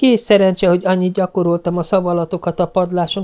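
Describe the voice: What you hear is plain reading aloud.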